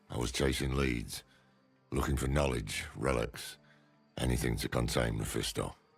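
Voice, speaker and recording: In a put-on character voice, a man sounds gruff with a very deep, low pitch and fairly even intonation, speaking at a moderate pace over faint music in the background. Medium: video game. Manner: gruff, blunt.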